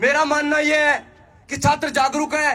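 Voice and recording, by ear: The man's voice is extremely high in pitch, with a bright, sharp tone. He keeps a moderate pace and a monotone, flat intonation.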